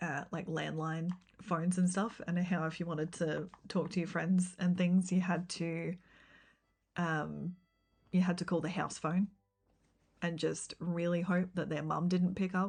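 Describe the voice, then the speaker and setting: Speaking at a fairly slow pace with an Australian accent, the voice is somewhat breathy. Its intonation stays flat and monotone, broken by long, frequent pauses. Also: woman, fairly low pitch for a woman, quiet background. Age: 30s. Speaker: gaming streamer and teacher. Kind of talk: casual live-stream chat. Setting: live stream.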